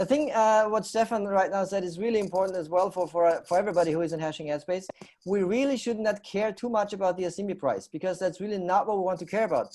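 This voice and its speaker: A man with a German accent and a high pitch speaks at a very fast pace, with hardly any pauses and ordinary pitch variation. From Austria. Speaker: talk show host. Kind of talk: live panel show hosting.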